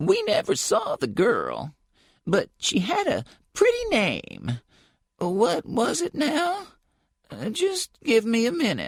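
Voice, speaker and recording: In a put-on character voice, a woman speaks at a fairly slow pace and fairly high pitch with long, frequent pauses, the sound dry and close with no echo. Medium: read story. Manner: chatty, hesitant.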